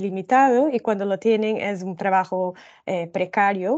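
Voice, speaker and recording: A woman talks with a Brazilian accent. Her pace is fairly slow and her intonation fairly even. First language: Portuguese (speaking Spanish). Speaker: social protection researcher. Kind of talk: presentation of report findings. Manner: slow, deliberate; halting, many fillers.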